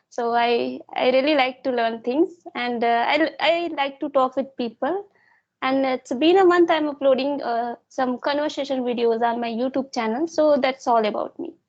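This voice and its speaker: A woman with an Indian accent talks at a moderate pace in a high pitch, her pitch varying an ordinary amount. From India, Chhattisgarh. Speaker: English learner YouTuber. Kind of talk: interview. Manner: halting.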